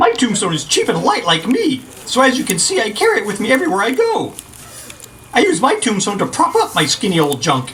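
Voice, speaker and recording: A cartoonish character voice runs at a fairly quick pace with a fairly high pitch. There is clear background noise. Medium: puppet show. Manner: rambling, chatty.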